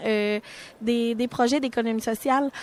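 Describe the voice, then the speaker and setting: A woman speaks with a Quebec accent. Her pitch is fairly high and varies in an ordinary way. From Quebec, Mauricie. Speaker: social economy communications worker, moderator. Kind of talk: radio panel discussion. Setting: live radio set at a forum.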